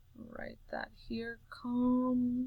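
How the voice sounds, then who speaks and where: A woman projects a raised voice at a high pitch, her tone bright and sharp. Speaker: math teacher. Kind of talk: recorded lesson for students.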